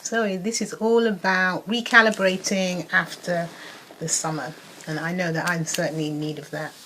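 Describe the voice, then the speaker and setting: A woman's voice sits at a medium pitch against noticeable background noise. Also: ordinary pitch variation, moderate pace. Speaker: wellness coach. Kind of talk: casual talk to camera; guided meditation. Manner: soft-spoken.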